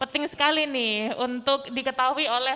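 A woman speaks at a fairly slow pace in a raised, projected voice. Her tone is bright and sharp. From Indonesia. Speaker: event moderator. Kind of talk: event moderating. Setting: hall with audience, streamed live. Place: hall. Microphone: handheld.

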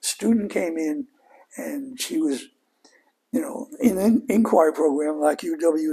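Talking at a very slow pace, a man uses high pitch with very wide pitch swings. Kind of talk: interview answer. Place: home room. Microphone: lapel.

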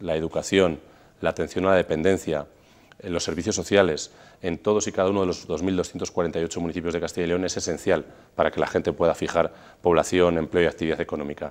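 Monotone and flat in intonation, a man speaks at a fairly quick pace with a very deep, low pitch. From Spain, Burgos; Spain. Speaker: regional parliament president; politician. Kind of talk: TV interview. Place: studio. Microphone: lapel.

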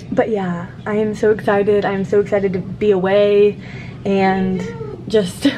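A woman speaks over noticeable background noise. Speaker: vlogger. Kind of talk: casual vlog chat. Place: home room. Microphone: phone near.

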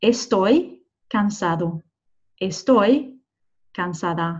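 With a Scottish accent, a woman speaks in a somewhat breathy voice with ordinary pitch variation over a quiet background. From Scotland. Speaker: Spanish teacher. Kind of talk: tutorial. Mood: friendly, encouraging. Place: car. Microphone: webcam.

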